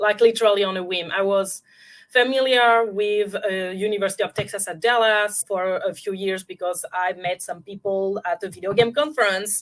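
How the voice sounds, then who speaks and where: Spoken at a moderate pace with fairly even intonation, this is a very clean recording over a silent background. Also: woman, medium pitch for a woman. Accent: French. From France. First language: French. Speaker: intuitive guide and film scholar. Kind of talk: interview.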